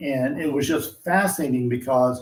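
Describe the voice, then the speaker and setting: This man's voice is fairly high in pitch and somewhat breathy. He speaks at a moderate pace. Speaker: industry analyst. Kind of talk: interview discussion.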